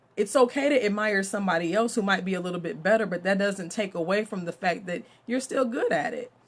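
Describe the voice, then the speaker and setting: A woman's animated, very fast talk with hardly any pauses, against noticeable background noise. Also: medium pitch for a woman, ordinary pitch variation. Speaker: mentor and author. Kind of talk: live stream talk. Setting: Facebook live video. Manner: loud.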